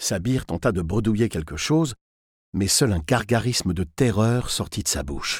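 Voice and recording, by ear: The speaker is reading aloud in a natural voice. Intonation is lively over a quiet background.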